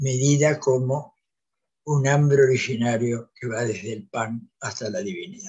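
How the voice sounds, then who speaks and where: At a fairly slow pace, a man speaks in a somewhat breathy voice over a quiet background. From Santa Fe, Argentina. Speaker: panelist. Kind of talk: academic talk. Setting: video call. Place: home room. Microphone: video call.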